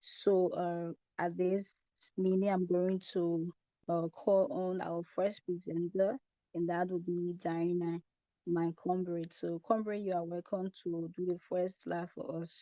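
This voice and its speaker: A soft-spoken woman talks at a very slow pace in a fairly low pitch, her dark, mellow tone carrying fairly even intonation in a dry, close sound with no echo. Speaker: student presenter. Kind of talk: online group presentation.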